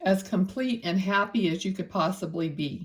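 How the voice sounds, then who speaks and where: At a very slow pace, a woman with a medium pitch speaks in a somewhat breathy voice, recorded very cleanly over a silent background. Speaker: psychic medium. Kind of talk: spirit reading monologue.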